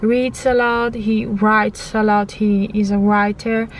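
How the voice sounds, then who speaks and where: A woman's fairly high voice with an Italian accent, monotone and flat in intonation, at a very slow pace over noticeable background noise. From Italy. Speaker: vlogger. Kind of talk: testimony. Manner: halting.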